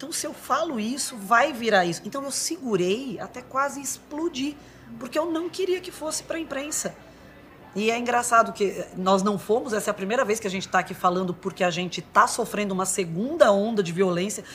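Fairly high-pitched woman at a fairly quick pace, with very wide pitch swings, big swings in loudness, and noticeable background noise. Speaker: actress. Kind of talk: testimony.

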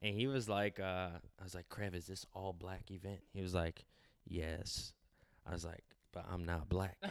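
Speaking with an American accent at a moderate pace, this voice keeps a fairly even intonation and leaves long, frequent pauses. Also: man, very deep, low pitch for a man. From California. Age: 20s. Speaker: clothing designer. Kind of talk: casual interview.

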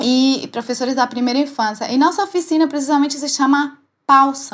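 A woman with a Spanish accent talks at a moderate pace in a high pitch. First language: Spanish (speaking Portuguese). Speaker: dancer and menopause educator. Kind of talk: casual interview chat.

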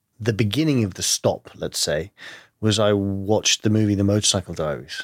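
Recorded very cleanly against a silent background, a man speaks with a London accent and ordinary pitch variation. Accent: British English, London. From London, England. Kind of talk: casual interview conversation.

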